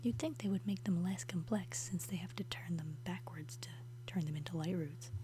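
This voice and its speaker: This voice is soft-spoken, with a calm tone. The pace is moderate. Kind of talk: casual gameplay commentary, relaxed talk to the viewers. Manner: soft-spoken, calm.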